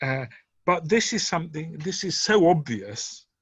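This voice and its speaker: A somewhat breathy man with an English accent, at a moderate pace, against a quiet background. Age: 70s. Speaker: author and retired doctor. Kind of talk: interview conversation. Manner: hesitant, many fillers.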